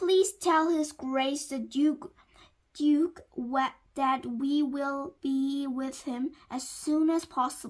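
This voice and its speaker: Putting on a character voice, a woman speaks very slowly. Her pitch is high. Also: very clean recording, silent background. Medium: read story. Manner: polite, courteous.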